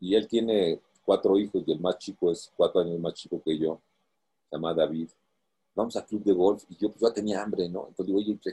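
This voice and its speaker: At a moderate pace, a man speaks with a dry, close sound with no echo. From Mexico. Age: 60s. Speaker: long-distance swimmer and author. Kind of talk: interview.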